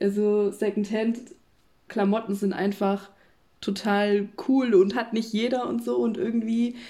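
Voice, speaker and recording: Speaking at a fairly slow pace, a woman has a medium-pitched voice with a dark, mellow tone. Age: 20s. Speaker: social work student. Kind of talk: casual chat.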